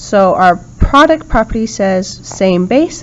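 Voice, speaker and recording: A woman speaks at a very slow pace. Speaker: math teacher. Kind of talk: lecture. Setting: recorded video lesson.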